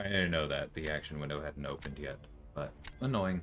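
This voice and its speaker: A man's very deep, low voice at a fairly quick pace, with ordinary pitch variation and music in the background. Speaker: gaming streamer. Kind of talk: live gameplay commentary. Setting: livestream. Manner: murmuring, soft at times.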